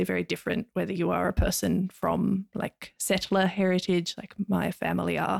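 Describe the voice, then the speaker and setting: A woman with an Australian accent at a fairly quick pace, in a dry, close sound with no echo. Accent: mild Australian. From Tasmania, Australia. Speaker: academic. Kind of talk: casual interview chat.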